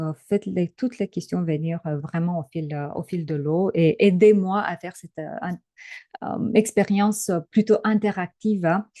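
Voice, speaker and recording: With a slight Romanian accent, a woman speaks in a dark, mellow, fairly low voice at a fairly slow pace, with ordinary pitch variation and big swings in loudness, in dry, close sound with no echo. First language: Romanian (speaking French). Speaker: trainer and coach. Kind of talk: webinar presentation. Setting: online webinar. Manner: hesitant, many filler sounds.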